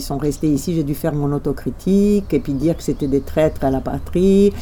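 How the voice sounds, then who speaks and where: A woman's very deep, low pitch at a moderate pace, with a Romanian accent. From Romania, Bucharest. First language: Romanian (speaking French). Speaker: journalist. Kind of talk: interview.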